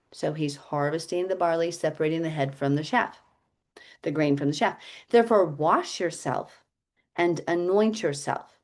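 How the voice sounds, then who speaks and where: Over a quiet background, a woman with an unremarkable speaking voice talks at a moderate pace, her pitch fairly low with ordinary variation. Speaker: Bible teacher. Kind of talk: Bible study teaching with reading aloud.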